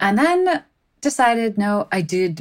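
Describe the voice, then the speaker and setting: A woman speaks with an American accent. Her voice carries vocal fry. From US Midwest, Chicago suburbs. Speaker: philosophy professor. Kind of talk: interview conversation.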